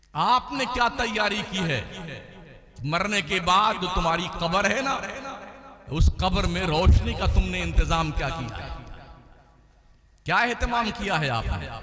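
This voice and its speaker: A man speaks in a raised, projected voice at a high pitch with lively intonation and long, frequent pauses. Audible room echo and noticeable background noise surround him. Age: 60s. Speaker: Islamic preacher (mufti). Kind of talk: sermon. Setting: stage with audience at religious gathering. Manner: animated.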